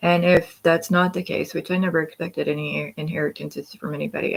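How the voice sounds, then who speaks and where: A woman's fairly low voice with vocal fry and an American accent at a moderate pace. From Scott County, Indiana, US. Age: 40s. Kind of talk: casual livestream talk to camera. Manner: rambling, hesitant.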